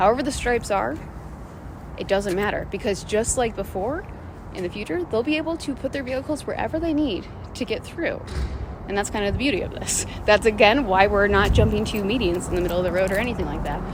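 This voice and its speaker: A woman with an American accent and fairly high pitch, in an animated tone with lively intonation at a very fast pace, over noticeable background noise. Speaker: city council member. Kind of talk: direct-to-camera video update. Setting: outdoors in the middle of a street.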